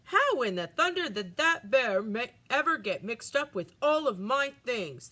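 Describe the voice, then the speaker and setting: A woman uses a put-on character voice pitched high. Her pitch swings very widely at a moderate pace. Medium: read story.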